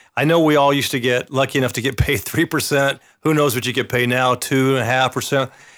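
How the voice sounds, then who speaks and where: Here a man has an unremarkable speaking voice at a medium pitch and a fairly quick pace. The recording is very clean, with a silent background. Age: 60s. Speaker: real estate agent. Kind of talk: casual interview. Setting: studio.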